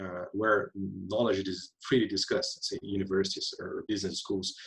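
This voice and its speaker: A man with a Portuguese accent, somewhat breathy, at a fairly quick pace. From Brazil. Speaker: UN economist on circular economy. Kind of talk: webinar panel discussion. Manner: halting, many fillers and repetitions.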